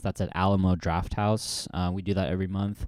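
A man with a West Coast accent speaks in a very deep, dark and mellow voice. His intonation is flat and monotone, and the recording is very clean with a silent background. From US Pacific Northwest, Portland. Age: 30s. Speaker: comedian. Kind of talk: casual chat.

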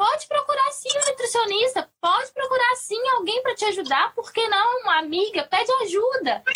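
In a Minas Gerais accent, a woman uses a raised, projected voice with a bright, sharp tone and very wide pitch swings at a moderate pace. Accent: Minas Gerais Brazilian Portuguese, noticeable. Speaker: perinatal psychologist. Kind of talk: casual chat. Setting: online live stream.

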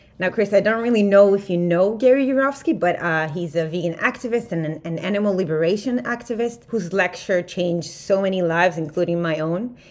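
Over noticeable background noise, a woman of medium pitch talks at a fairly quick pace with ordinary pitch variation and hardly any pauses. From Israel. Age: 20s. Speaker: vegan organization worker. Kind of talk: interview.

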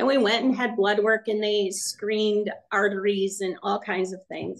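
A woman's fairly high-pitched voice at a fairly slow pace. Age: 60s. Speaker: retired teacher. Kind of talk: casual podcast interview.

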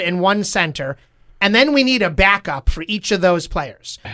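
A man's raised, projected voice sounds high-pitched, with a bright, sharp tone and lively intonation. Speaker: podcast host, father. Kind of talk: casual interview chat.

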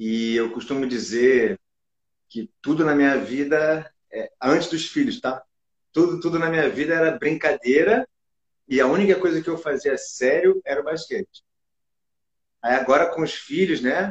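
A man's fairly high voice with lively intonation at a moderate pace, broken by long, frequent pauses. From Brazil, Rio de Janeiro. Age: 40s. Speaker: basketball coach. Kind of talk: casual interview chat. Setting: online live stream.

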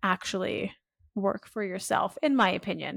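A woman with a Canadian accent and an unremarkable speaking voice talks at medium pitch and a fairly slow pace in a very clean recording with a silent background and dry, close sound with no echo. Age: 20s. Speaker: influencer marketing agency owner. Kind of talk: interview.

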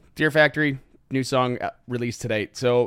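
In a very clean recording with a silent background, a man with an unremarkable speaking voice talks at a fairly quick pace at medium pitch. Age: 40s. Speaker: podcast host. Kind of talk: casual chat. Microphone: new microphone.

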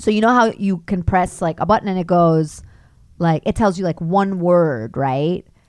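In an American accent, a woman speaks at a moderate pace with a fairly low pitch and ordinary pitch variation. She has an ordinary speaking voice. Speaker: actress and voice actor. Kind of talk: casual chat.

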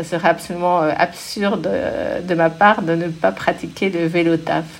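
With noticeable background noise, a woman talks at a fairly slow pace in a fairly low voice with fairly even intonation. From Paris, France. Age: 50s. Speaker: bike rental company executive. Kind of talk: interview. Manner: hesitant, many fillers.

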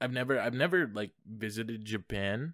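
In a very clean recording with a silent background, a man has a normal speaking voice, fairly low in pitch with ordinary pitch variation. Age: young. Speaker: podcast host. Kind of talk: casual chat.

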